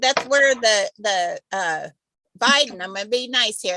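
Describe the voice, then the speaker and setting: In an American accent, a woman with a bright, sharp tone swings her pitch very widely, the sound dry and close with no echo. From US Midwest, Kansas. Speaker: quilting group member. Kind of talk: casual chat. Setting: video call.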